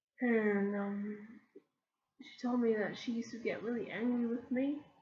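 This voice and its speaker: A woman talks at a very slow pace. Her voice is somewhat breathy. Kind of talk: casual talk to camera. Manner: halting, many ums and stammers.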